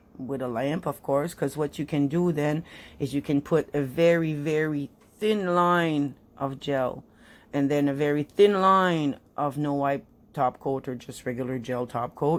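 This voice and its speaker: A woman with a French Canadian accent talks at a fairly slow pace in a very deep, low voice with ordinary pitch variation, on a very clean recording with a silent background. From French Canada (Quebec). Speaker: nail art hobbyist YouTuber. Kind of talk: tutorial. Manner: casual, halting with fillers.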